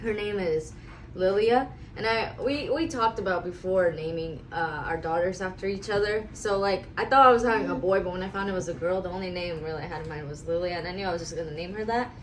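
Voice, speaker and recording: A woman speaks very fast at a medium pitch with ordinary pitch variation, amid noticeable background noise and audible room echo. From US West Coast, raised from age 5 (born in Russia). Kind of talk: casual chat. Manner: sometimes loud, sometimes mumbling.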